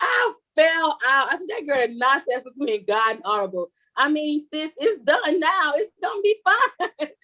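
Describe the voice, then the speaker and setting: A woman's raised, projected voice, high in pitch with a bright, sharp tone, very wide pitch swings and a moderate pace. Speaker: contributing author. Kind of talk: casual chat.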